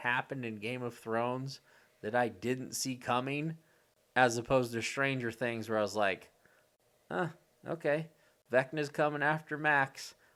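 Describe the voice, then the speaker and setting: Bright and sharp in tone, a man's medium-pitched voice moves at a fairly slow pace with ordinary pitch variation, captured in a very clean recording with a silent background. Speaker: podcast co-host. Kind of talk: casual chat. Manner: animated.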